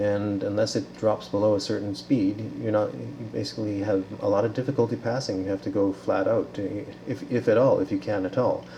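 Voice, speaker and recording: A man with a fairly low pitch and ordinary pitch variation talks at a fairly quick pace against noticeable background noise. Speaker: researcher demonstrating a simulation. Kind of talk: software demonstration. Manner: fast; halting, many fillers.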